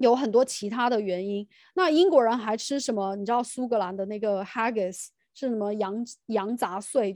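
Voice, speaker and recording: Over a quiet background, a woman with a plain, everyday voice speaks at a fairly high pitch with ordinary pitch variation. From mainland China. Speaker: podcast host, teacher. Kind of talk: casual chat.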